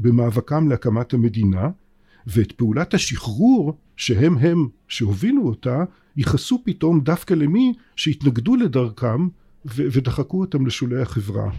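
A man's somewhat breathy, dark, mellow voice at a fairly high pitch, with very wide pitch swings and a fairly slow pace, dry and close with no echo on a very clean recording with a silent background. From Israel. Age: 60s. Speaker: political science professor. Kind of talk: interview.

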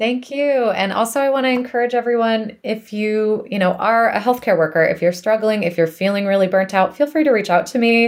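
A woman with a plain, everyday voice and an American accent, fairly high in pitch, fairly quick, with ordinary pitch variation. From US East Coast. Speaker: music therapist. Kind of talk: interview.

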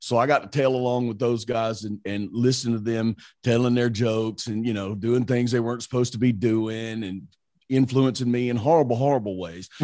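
Speaking at a fairly quick pace with a Southern US accent, a man of medium pitch has a dark, mellow tone and fairly even intonation. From Mississippi, US South. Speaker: radio morning show host. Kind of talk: casual interview chat.

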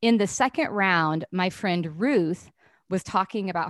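With a dry, close sound and no echo, a woman of medium pitch speaks in an unremarkable speaking voice with lively intonation. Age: 40s. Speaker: HR company president. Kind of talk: casual interview.

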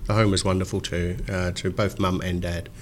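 This man talks at a moderate pace with an Australian accent. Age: 50s. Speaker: financial adviser podcast host. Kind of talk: interview.

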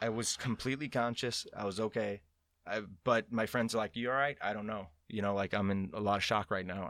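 A normal speaking voice from a man, fairly low-pitched, fairly quick, with fairly even intonation on a very clean recording with a silent background. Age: 30s. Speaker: professional skydiver and canopy coach. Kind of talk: casual interview chat. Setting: studio.

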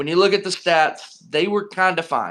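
The voice has a bright, sharp tone and an American accent. It moves at a fairly slow pace with ordinary pitch variation. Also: man. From North Carolina (Charlotte). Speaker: sports podcast guest. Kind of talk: casual chat.

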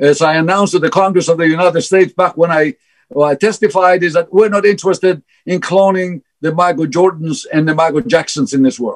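This voice moves at a fairly quick pace with ordinary pitch variation. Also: man, high pitch for a man. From Greece. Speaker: fertility scientist. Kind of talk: interview. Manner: halting, repeats words.

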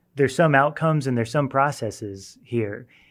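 Using a plain, everyday voice, a man speaks at a fairly quick pace with fairly even intonation. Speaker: Bible teacher. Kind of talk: Bible study discussion.

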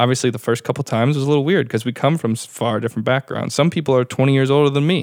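A man speaking at a very fast pace in an American accent, with fairly even intonation. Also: medium pitch for a man. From western New York (Brockport). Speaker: bartender. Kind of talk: casual interview chat.

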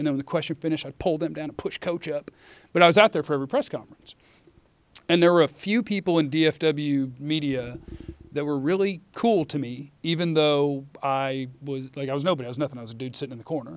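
With an American accent, a man talks at a very fast pace. His pitch is fairly high for a man, with ordinary variation. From Dallas-Fort Worth, Texas (early childhood St. Louis). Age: 30s. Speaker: sports radio host. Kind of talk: casual chat.

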